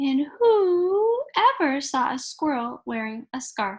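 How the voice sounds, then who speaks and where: Loud and high-pitched, a woman does a put-on character voice with very wide pitch swings. Her pace is fairly slow. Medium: read story. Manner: hooting, loud.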